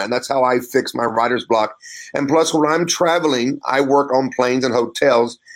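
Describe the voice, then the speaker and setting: An unremarkable speaking voice from a man, fairly high in pitch, with ordinary pitch variation. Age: 50s. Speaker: pastor and author. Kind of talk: interview.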